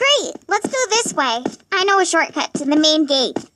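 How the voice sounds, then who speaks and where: This is a put-on character voice, high-pitched and squeaky. It moves at a moderate pace. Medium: machinima. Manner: eager, fretful.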